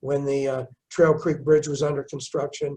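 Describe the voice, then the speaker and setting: A man speaks somewhat breathily at a fairly high pitch. His intonation is monotone and flat, at a moderate pace. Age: 70s. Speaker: mayor. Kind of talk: interview. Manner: halting, repeats words.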